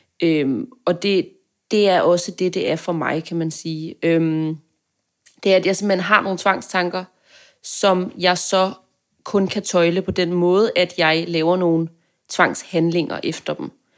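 Speaking very slowly, a woman keeps her intonation fairly even on a very clean recording with a silent background. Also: fairly low pitch for a woman. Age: 20s. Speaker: journalism student. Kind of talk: casual interview.

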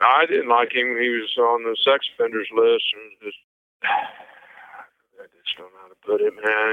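A man with a Missouri accent speaks at medium pitch with fairly even intonation. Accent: Midwestern American (Missouri). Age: 50s. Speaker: convicted killer, interviewee. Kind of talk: interview testimony.

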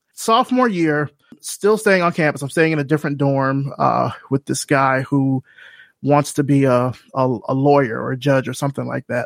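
A plain, everyday voice from a man with an American accent, at a moderate pace and fairly high pitch with ordinary pitch variation. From US South, Selma, Alabama. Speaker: creative director and podcaster. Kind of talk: casual interview.

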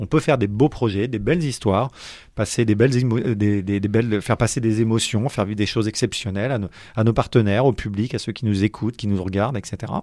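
A medium-pitched male voice at a fairly quick pace, ordinary pitch variation, on a very clean recording with a silent background. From Paris, France. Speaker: professional sailor. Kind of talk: interview. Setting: studio. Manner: hesitant, many fillers.

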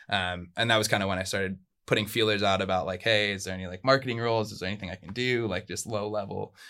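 A man with an American accent, fairly low-pitched and bright and sharp in tone, at a very fast pace with fairly even intonation and big swings in loudness, on a very clean recording with a silent background. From US, Southern California (Orange County). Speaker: tour manager and marketing professional. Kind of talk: casual interview chat. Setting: in person, in Australia.

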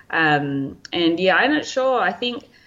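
Her very deep, low voice carries an Australian accent as she speaks at a moderate pace. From Australia, Lake Macquarie NSW. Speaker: physiotherapist and elite runner. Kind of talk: interview conversation.

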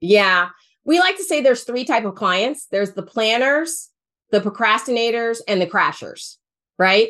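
Lively intonation in a woman's normal speaking voice, fairly high in pitch, at a moderate pace. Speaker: financial planner, former senior housing professional. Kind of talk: interview, casual conversational.

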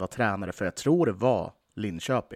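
The man's pitch swings very widely as he talks at a moderate pace, with a dry, close sound and no echo. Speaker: podcast host and hockey fan. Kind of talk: casual chat about the team.

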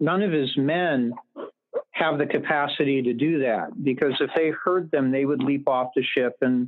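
Speaking fairly slowly, a man uses an unremarkable speaking voice at medium pitch with fairly even intonation. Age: 50s. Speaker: author and literature professor. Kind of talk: casual interview conversation.

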